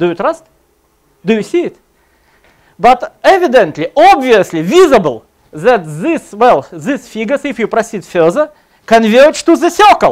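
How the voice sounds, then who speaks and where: Long, frequent pauses break up a man's speech in a Russian accent. He keeps a moderate pace over a quiet background. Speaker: computer science lecturer; lecturer. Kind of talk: conference talk. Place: hall.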